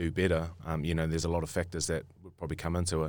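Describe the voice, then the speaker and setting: With a New Zealand accent, a man speaks at a very fast pace in a very deep, low voice on a very clean recording with a silent background. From New Zealand, Auckland. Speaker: rugby player. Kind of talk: casual chat. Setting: studio.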